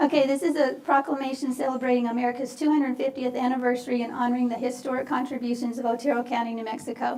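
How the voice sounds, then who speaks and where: Over noticeable background noise, a woman speaks at a high pitch and a very fast pace with hardly any pauses, her intonation monotone and flat. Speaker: county commissioner. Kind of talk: reading aloud proclamations at a public meeting. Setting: county commission meeting. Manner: halting, stumbles on words.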